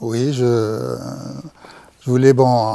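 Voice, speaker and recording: Recorded with a dry sound and no echo, a man speaks at a medium pitch with fairly even intonation. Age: 60s. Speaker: patient. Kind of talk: patient testimony. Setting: studio. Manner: halting, many hesitations. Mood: calm, reflective about illness. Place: studio. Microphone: lapel.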